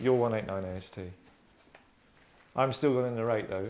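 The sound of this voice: A man's fairly low voice with a slightly mellow tone, ordinary pitch variation and a moderate pace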